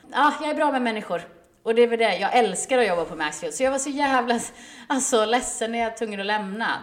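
Over noticeable background noise, a woman talks very fast with lively intonation and a fairly high pitch. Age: 30s. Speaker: podcast co-host. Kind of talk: casual chat.

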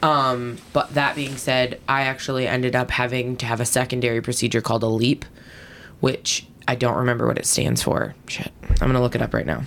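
At a fairly quick pace, a woman with a very deep, low pitch speaks in a monotone, flat way over noticeable background noise. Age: 30s. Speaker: podcast co-host. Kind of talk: casual chat.

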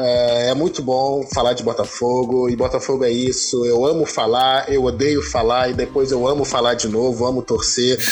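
A man at medium pitch, moderate pace with hardly any pauses, monotone flat intonation and very even loudness, against noticeable background noise. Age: 20s. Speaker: advertising professional, podcast panelist. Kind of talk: casual chat.

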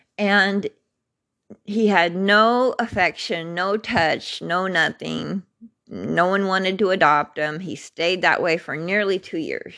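A woman speaks at a very slow pace in a bright, sharp tone. Her intonation is fairly even. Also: medium pitch for a woman. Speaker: podcast host telling her life story. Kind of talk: personal testimony monologue. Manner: informal and unscripted; laughs often.

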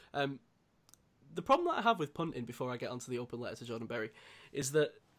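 A man speaks with a British accent at a fairly high pitch. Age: 20s. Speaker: podcast host. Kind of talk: casual chat.

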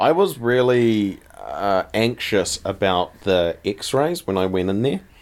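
A man with a New Zealand accent, fairly low-pitched with ordinary pitch variation and a playful tone, in a very clean recording with a silent background. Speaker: podcast co-host. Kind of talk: casual chat. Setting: living room at night. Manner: laughs often, playful.

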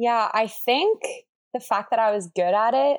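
A woman with a Canadian accent, medium in pitch, at a moderate pace, in a plain, everyday voice. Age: 20s. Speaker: paramedic student and personal trainer. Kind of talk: casual interview chat.

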